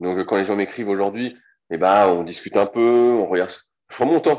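A man speaks in a plain, everyday voice at a fairly slow pace with ordinary pitch variation. The background is quiet. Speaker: strength training coach. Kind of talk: interview. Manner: casual.

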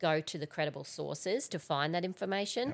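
On a very clean recording with a silent background, a woman speaks with a strong Australian accent. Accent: broad Australian. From Central Queensland, Australia. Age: 40s. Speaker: environmental scientist. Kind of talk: casual chat.

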